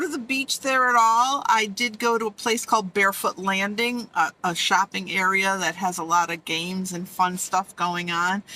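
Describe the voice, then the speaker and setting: A woman with an ordinary speaking voice and medium pitch talks at a moderate pace, with ordinary pitch variation and hardly any pauses. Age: 60s. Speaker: vlogger living in an SUV. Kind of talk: casual talk to camera. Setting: inside a car.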